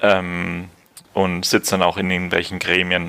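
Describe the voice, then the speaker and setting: The man's voice sits very deep and low, with a bright, sharp tone. His intonation is monotone and flat. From Franconia, Germany. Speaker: emigrant, former student in Sweden. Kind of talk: casual interview. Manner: hesitant, many fillers.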